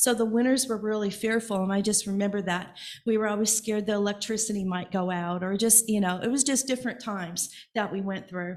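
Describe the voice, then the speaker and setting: Very fast speech in an American accent, with fairly even intonation and audible room echo. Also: woman, medium pitch for a woman. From Evansville, Indiana. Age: 60s. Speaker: congregation member. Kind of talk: personal sharing in church service. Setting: church.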